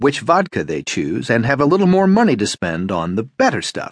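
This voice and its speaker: At a fairly quick pace, a man with a plain, everyday voice and fairly high pitch is heard in a dry, close recording with no echo. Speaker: audiobook narrator. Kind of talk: audiobook narration. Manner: even, measured, formal narrator.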